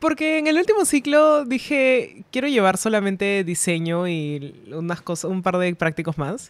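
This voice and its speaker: A woman's voice with very wide pitch swings and hardly any pauses, in a dry sound with no echo. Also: fairly slow pace. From Peru. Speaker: illustrator; podcast guest. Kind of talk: casual chat. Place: studio. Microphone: studio mic.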